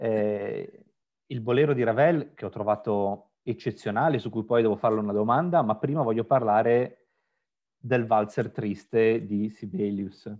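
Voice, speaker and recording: Ordinary pitch variation in an ordinary speaking voice, at a fairly slow pace. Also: man, medium pitch for a man. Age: 40s. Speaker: interviewer, web channel host. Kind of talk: interview.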